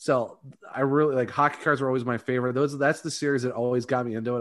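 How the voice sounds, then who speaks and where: This man has a plain, everyday voice at a medium pitch, his intonation fairly even, captured in a very clean recording against a silent background. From Northeast Ohio (Ravenna, near Akron). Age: 30s. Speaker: hockey podcaster. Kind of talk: casual chat.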